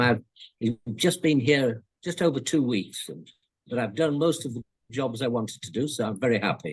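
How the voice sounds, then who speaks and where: A man speaks with a British accent at a moderate pace. His pitch is medium and his intonation lively. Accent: older British English. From India, then England from age eleven. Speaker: former colonial agricultural officer. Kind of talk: interview.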